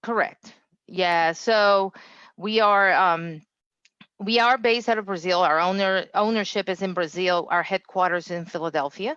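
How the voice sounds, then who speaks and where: A woman at medium pitch, moderate pace and ordinary pitch variation, in a quiet background. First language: not English. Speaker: engineering quality director. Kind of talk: interview. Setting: livestream.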